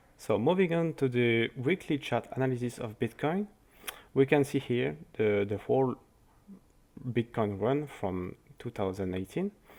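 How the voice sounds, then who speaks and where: A man with a French accent speaks at a medium pitch and a moderate pace, with long, frequent pauses. His pitch swings very widely. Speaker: crypto market analyst. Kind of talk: market analysis commentary. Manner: halting.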